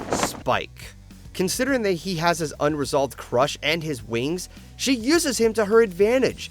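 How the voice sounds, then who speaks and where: A man speaks with a high pitch and very wide pitch swings. Music plays in the background. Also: moderate pace. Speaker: video reviewer. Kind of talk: review commentary.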